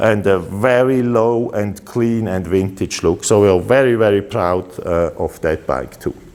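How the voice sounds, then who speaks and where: Noticeable background noise runs behind a man with a fairly low pitch and ordinary pitch variation. He speaks at a fairly slow pace with hardly any pauses. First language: Swiss German. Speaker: custom motorcycle builder. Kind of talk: product presentation. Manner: halting, with many filler uhs.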